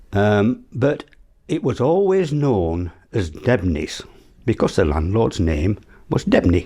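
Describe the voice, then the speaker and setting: In a Yorkshire accent, a man speaks very slowly at a fairly low pitch, somewhat breathy and dark, mellow in tone, his pitch swinging very widely. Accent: broad Yorkshire. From South Yorkshire, England. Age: 80s. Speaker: elderly local resident sharing memories. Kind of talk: oral history interview, reminiscing. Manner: halting, with frequent fillers and restarts.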